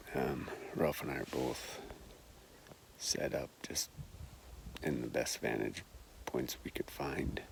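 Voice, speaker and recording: Someone whispers at a very slow pace, with long, frequent pauses. Noticeable background noise is present. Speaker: hunter. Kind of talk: vlog narration while hunting. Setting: outdoors on a mountain ridge. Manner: soft-spoken.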